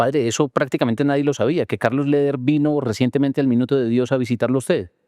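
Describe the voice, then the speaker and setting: A man talks very fast in a dark, mellow tone, his loudness very even and his intonation fairly even. The sound is dry and close, with no echo. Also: medium pitch for a man. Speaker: journalist, interviewer. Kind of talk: interview questions.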